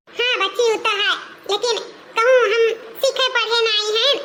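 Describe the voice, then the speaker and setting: A woman does a cartoonish character voice at an extremely high pitch, with clear background noise behind her. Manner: polite, submissive.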